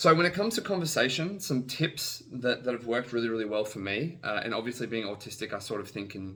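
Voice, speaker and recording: Using a bright, sharp tone and lively intonation, a man at medium pitch talks at a very fast pace. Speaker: vlogger sharing personal advice. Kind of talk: casual talk to camera. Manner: hesitant, repeats words.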